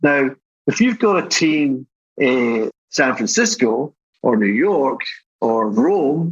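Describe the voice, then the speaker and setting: A man speaks with a Scottish accent at a fairly high pitch. His intonation is lively. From Scotland. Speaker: tech company CEO. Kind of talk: podcast interview. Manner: fast when excited.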